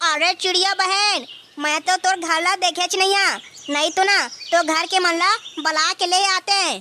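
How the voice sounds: In a cartoonish character voice, a woman talks at a moderate pace with an extremely high pitch.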